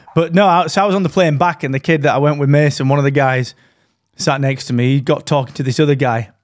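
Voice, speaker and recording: A man with a British accent, medium in pitch, at a very fast pace. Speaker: podcast co-host. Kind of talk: casual chat. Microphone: dynamic broadcast mic, good audio quality.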